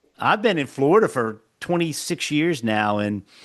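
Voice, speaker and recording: Speaking in a slight Southern Maryland accent, a man sounds animated, with ordinary pitch variation. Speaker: podcast host. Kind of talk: casual interview.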